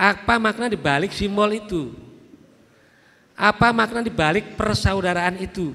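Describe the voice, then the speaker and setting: A man's raised, projected voice, high in pitch, with ordinary pitch variation at a fairly slow pace. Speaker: book reviewer. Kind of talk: book review talk. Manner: formal.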